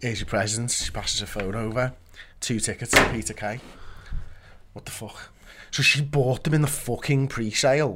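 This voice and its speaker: Pitched in a medium range, a man talks at a moderate pace with ordinary pitch variation. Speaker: podcast co-host. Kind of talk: casual chat.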